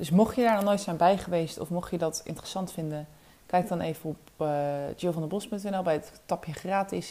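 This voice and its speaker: Delivered at a moderate pace, the voice has a dark, mellow tone with ordinary pitch variation. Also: woman. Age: 20s. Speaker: sales coach. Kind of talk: solo podcast tutorial. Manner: hesitant, many filler words.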